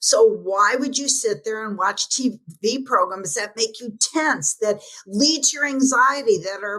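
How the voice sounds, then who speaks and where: A woman projects a raised voice at a high pitch and a moderate pace. Her pitch swings very widely. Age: 70s. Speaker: transformation teacher and author. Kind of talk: podcast interview. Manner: animated.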